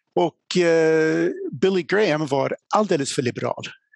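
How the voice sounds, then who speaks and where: Very wide pitch swings from a man, in a dry, close sound with no echo. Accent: English. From USA, small town. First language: English (speaking Swedish). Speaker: apologetics speaker. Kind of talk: lecture. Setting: live event with audience.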